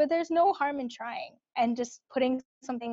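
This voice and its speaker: A woman speaks at a fairly quick pace in a Californian accent, with ordinary pitch variation. The sound is dry and close, with no echo. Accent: Californian American English. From US West Coast, Bay Area (Cupertino). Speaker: product manager. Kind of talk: casual interview chat.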